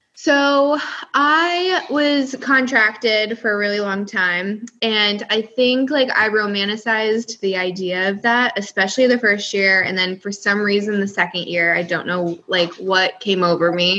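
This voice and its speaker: Hardly pausing, a woman talks at a fairly slow pace with a medium pitch and ordinary pitch variation. Noticeable background noise sits behind her voice. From US, California and upstate New York. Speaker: former adult film performer and content creator. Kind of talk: casual interview chat.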